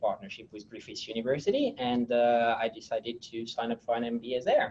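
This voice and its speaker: Talking at a fairly quick clip, a man with a French accent uses a medium pitch and ordinary pitch variation. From France. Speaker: technology executive. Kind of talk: interview. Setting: webinar. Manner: halting, many fillers.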